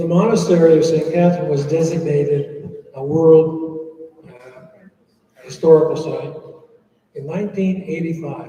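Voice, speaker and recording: With an American accent, a man speaks at a fairly slow pace and a fairly high pitch, his flat, monotone delivery showing big swings in loudness amid audible room echo. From USA. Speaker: monk. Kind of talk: Q&A talk.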